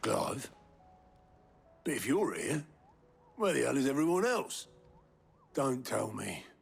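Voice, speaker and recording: A man does a put-on character voice, raspy and fairly high-pitched. He talks at a fairly slow pace with long, frequent pauses. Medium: video game. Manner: wry, practical.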